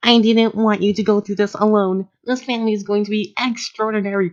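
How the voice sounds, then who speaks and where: A female-sounding voice in a put-on character voice talks at a fairly quick pace and medium pitch. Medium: read story.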